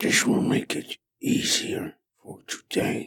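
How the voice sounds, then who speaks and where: A raspy, put-on character voice from a man. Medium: actual play. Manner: terse, formal, sparing with words.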